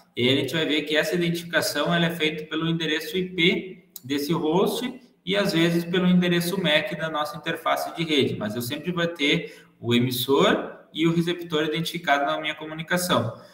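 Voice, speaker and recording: With audible room echo and noticeable background noise, a man talks at a moderate pace with hardly any pauses, at a fairly high pitch and ordinary pitch variation. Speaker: teacher. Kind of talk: lecture. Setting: video call.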